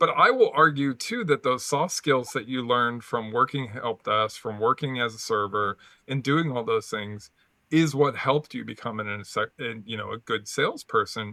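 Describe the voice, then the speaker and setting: A man talks at a moderate pace with a medium pitch. His pitch varies in an ordinary way. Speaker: podcast host. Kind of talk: casual interview chat. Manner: animated, varied pitch on show; halting, many repeated words.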